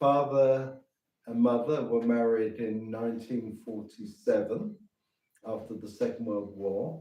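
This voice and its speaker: Speaking very slowly in a southern English accent, a man has a dark, mellow tone, medium pitch and fairly even intonation. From England, southeast London. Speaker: missionary priest. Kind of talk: interview. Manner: halting.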